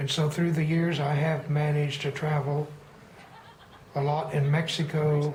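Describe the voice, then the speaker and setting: A moderate pace over noticeable background noise. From Texas. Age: 60s. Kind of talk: personal storytelling monologue.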